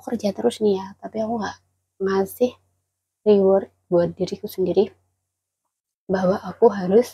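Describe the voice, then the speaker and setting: Quiet and somewhat breathy, a woman's voice has a dark, mellow tone at medium pitch, fairly even intonation, a moderate pace and long, frequent pauses. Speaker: migrant domestic worker vlogger. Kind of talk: casual vlog chat. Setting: indoors at employer's home. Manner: quiet, held-back voice.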